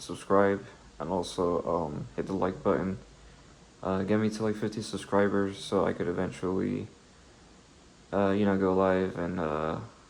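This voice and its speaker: A soft-spoken man talks at a moderate pace with a fairly low pitch. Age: 20s. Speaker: solo video creator talking about philosophy. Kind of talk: casual vlog monologue. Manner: halting, many fillers.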